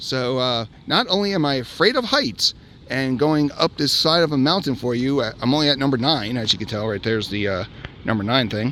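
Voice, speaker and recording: Fairly quick speech with lively intonation over noticeable background noise. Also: man, medium pitch for a man. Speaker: amusement park vlogger. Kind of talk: casual talk to camera. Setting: outdoors.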